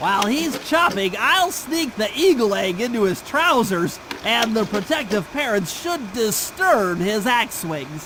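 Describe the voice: A man puts on a cartoonish character voice, high-pitched with a bright, sharp tone and big pitch swings. He speaks fairly slowly over faint background noise. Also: few pauses.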